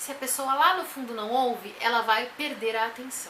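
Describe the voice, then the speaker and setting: A woman's high-pitched voice with ordinary pitch variation, plus audible room echo and noticeable background noise. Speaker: vlogger and teacher. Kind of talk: tutorial. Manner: loud.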